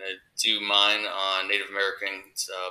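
A man's fairly low, monotone voice with flat intonation. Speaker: teacher. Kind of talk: tutorial. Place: home room. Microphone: webcam.

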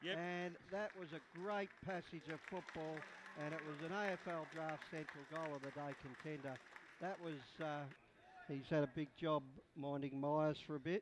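With crowd noise in the background, a man talks in a relaxed tone with fairly even intonation. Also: fairly high pitch for a man, moderate pace. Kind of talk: live sports commentary. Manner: relaxed, conversational analyst, more halting.

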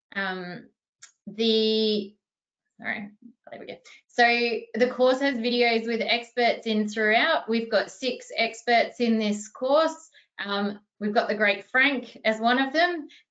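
At a very slow pace and with an Australian accent, the speaker leaves long, frequent pauses and swings widely in loudness against a quiet background. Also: woman, fairly high pitch for a woman, ordinary pitch variation. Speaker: archivist and webinar moderator; webinar moderator. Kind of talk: webinar panel discussion. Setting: video call. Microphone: video call.

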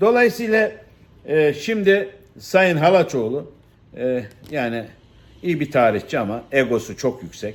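A very slow, fairly high-pitched male voice with very wide pitch swings and long, frequent pauses, on a very clean recording with a silent background. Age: 60s. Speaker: political commentator, former politician. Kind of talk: monologue commentary. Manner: halting, many fillers.

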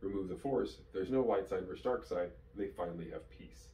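Amid audible room echo and light background noise, a man speaks at a moderate pace. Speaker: fan video host. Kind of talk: commentary. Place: home room.

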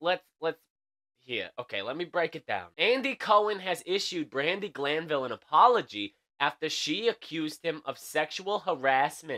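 A man's fairly high, bright and sharp voice with vocal fry, an animated tone and very wide pitch swings, at a moderate pace against a quiet background. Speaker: late night news show host. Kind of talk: comedic news commentary. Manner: casual, animated. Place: home room. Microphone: studio mic.

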